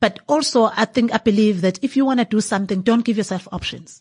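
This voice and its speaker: The voice is somewhat breathy, with ordinary pitch variation and a moderate pace. The sound is dry and close with no echo over a quiet background. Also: woman. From KwaZulu-Natal, South Africa. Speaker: winemaker and entrepreneur. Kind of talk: interview. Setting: 28th-floor venue at a business forum.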